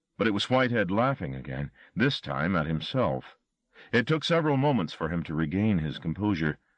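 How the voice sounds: The background stays quiet. A natural reading voice is heard.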